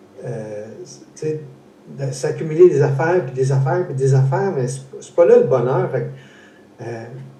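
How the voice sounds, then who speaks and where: With a Quebec accent, a man speaks at a fairly slow pace and a medium pitch with ordinary pitch variation and big swings in loudness, amid audible room echo and noticeable background noise. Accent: Québécois French. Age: 60s. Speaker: interview host, foundation founder. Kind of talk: casual interview. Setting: live stream. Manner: halting, many repetitions.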